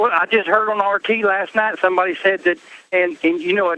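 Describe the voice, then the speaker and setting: In an American accent, a man speaks with a raised, projected voice at a high pitch. His tone is bright and sharp, and his pace is moderate. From United States. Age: 60s. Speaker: caller. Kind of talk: call-in radio talk.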